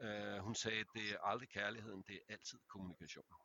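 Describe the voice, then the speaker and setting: This man has a fairly low pitch and a plain, everyday voice. He talks at a fairly quick pace. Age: 50s. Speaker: men's therapist. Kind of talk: casual chat.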